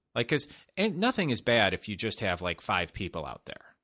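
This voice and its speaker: With an American accent, a man talks in a bright, sharp tone, his pitch swinging very widely. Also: very clean recording, silent background. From Chicago, US. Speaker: podcast host. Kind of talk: casual chat. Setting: studio.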